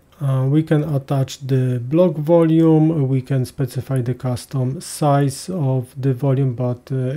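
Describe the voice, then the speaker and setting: A man with a medium pitch and a dark, mellow tone speaks with fairly even intonation. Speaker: cloud database tutorial presenter. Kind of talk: tutorial. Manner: hesitant, many filler sounds.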